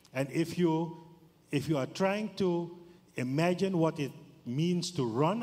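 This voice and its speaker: A man talks in a Surinamese accent. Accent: Surinamese, non-native English. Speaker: business forum director, audience member. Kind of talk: audience question at forum. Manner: slow, halting.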